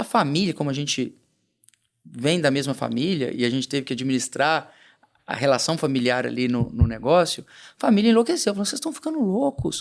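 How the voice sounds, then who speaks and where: A man speaks with a strong rural Minas Gerais accent at a fairly quick pace. His pitch is fairly high and his intonation lively. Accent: strong rural Minas Gerais (caipira). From Brazil, southern Minas Gerais (Nepomuceno). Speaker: entrepreneur. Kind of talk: interview conversation.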